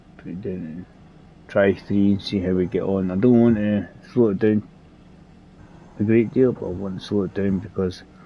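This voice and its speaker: A man with a Scottish accent and fairly low pitch speaks at a moderate pace with fairly even intonation, long, frequent pauses and big swings in loudness. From Scotland, Edinburgh. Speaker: gaming streamer. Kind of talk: live gameplay commentary. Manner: casual, rambling with hesitations.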